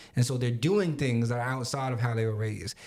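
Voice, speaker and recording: A man speaks with an American accent in an ordinary speaking voice. His pitch sits in the middle range and varies a normal amount. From Long Island, New York. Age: 30s. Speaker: podcast co-host. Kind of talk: casual chat.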